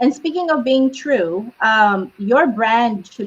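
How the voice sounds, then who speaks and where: Her speech is fairly slow and somewhat breathy. The woman's pitch ranges very widely from low to high. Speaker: marketing advisor. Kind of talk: casual chat.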